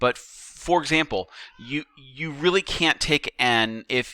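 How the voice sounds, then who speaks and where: A man's bright, sharp voice carries lively intonation. The recording is very clean with a silent background and a dry, close sound with no echo. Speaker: teacher. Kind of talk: lecture. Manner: halting.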